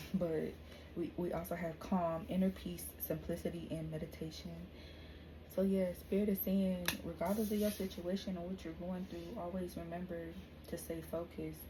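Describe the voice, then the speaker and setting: A woman talks at a moderate pace in a room with audible echo. Noticeable background noise runs underneath. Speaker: tarot reader. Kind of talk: tarot reading.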